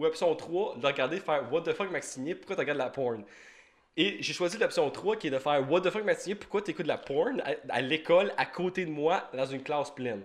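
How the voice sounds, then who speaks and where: This man's pitch is fairly high. He speaks at a fairly quick pace. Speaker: podcast host. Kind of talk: casual chat. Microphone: sound cutting out.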